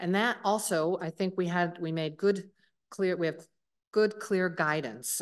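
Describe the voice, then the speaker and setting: An ordinary speaking voice at a moderate pace with ordinary pitch variation. The background is quiet. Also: woman. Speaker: government climate envoy. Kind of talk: policy speech.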